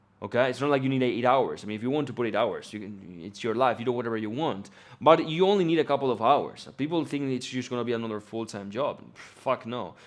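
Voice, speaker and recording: Against a quiet background, a man with a medium pitch and an animated tone talks at a very fast pace with hardly any pauses. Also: ordinary pitch variation. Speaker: business coach. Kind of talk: casual talk to camera.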